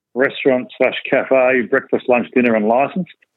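A man with an Australian accent, medium pitch and ordinary pitch variation. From Geelong, Victoria, Australia. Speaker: retired Australian rules footballer. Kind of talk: casual interview.

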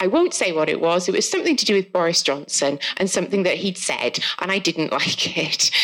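Over noticeable background noise, a woman in a Welsh accent talks at a fairly quick pace with hardly any pauses, her pitch medium. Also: ordinary pitch variation. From South Wales. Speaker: author. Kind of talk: casual live podcast conversation. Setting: live festival event with audience.

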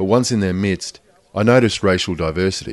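With an Australian accent, a man with a fairly low pitch talks at a fairly quick pace with ordinary pitch variation. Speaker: podcast host and audio producer. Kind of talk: scripted narration.

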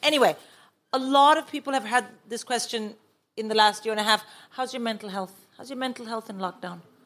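At a very fast pace broken by long, frequent pauses, a woman with a fairly high pitch speaks with big swings in loudness. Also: ordinary pitch variation. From India. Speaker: comedian and co-host. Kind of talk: live comedy podcast with panel. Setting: stage with audience.

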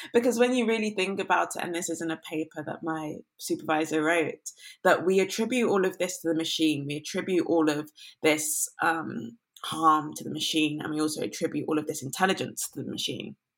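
In a London accent, a woman talks at a fairly quick pace. Her pitch is fairly low, with ordinary variation. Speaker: climate activist and researcher. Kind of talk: interview conversation.

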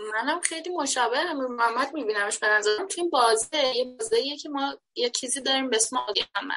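A woman's raised, projected voice, high and bright with a sharp tone, at a very fast pace with lively intonation. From Iran, Shiraz. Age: 20s. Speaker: event venue founder. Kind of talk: casual chat.

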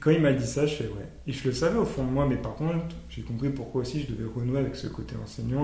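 Against noticeable background noise and audible room echo, a man at a medium pitch talks at a fairly quick pace with ordinary pitch variation. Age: 30s. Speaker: medium and healer. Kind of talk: casual chat.

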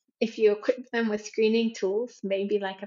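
Moderately paced, a woman with an Australian accent speaks in a fairly high pitch with monotone, flat intonation. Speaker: researcher. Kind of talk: interview.

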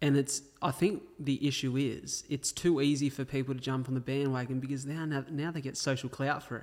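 In an Australian accent, a man with a fairly high pitch talks at a fairly quick pace in a monotone, flat intonation, with hardly any pauses. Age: 20s. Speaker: podcast host. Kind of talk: interview.

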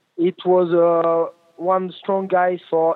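A man's high pitch in a French accent. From France. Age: 20s. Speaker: motorcycle racer. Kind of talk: interview. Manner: halting, many fillers.

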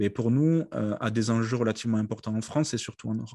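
A man's voice, showing ordinary pitch variation, is heard against a quiet background. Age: 30s. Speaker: company CEO. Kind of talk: interview. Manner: halting, many hesitations.

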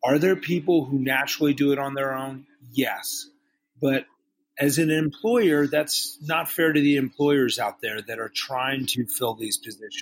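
A man with a normal speaking voice and a fairly high pitch talks at a fairly slow pace with ordinary pitch variation. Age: 50s. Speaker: master sommelier and restaurateur. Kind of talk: interview.

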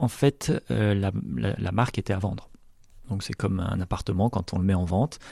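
Against a quiet background, a man speaks in a dark, mellow tone. He keeps a moderate pace. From French Alps. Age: 40s. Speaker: company president. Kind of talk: interview. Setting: company headquarters. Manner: hesitant, many fillers.

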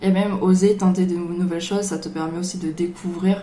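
A woman speaks with monotone, flat intonation. Room echo is audible around her voice. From Marseille, France. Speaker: bubble tea business owner. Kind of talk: casual chat.

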